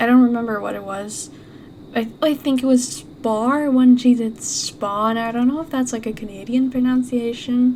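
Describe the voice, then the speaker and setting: Over noticeable background noise, a woman with a non-native accent speaks in a high voice with ordinary pitch variation. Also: moderate pace. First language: not English. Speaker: gaming YouTuber. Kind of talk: let's play commentary. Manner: hesitant, many fillers.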